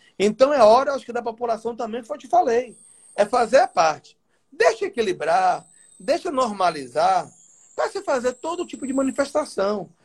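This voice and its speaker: With an extremely high pitch and very wide pitch swings, a man talks at a moderate pace while his loudness swings a lot. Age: 40s. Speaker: state legislator. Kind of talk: interview.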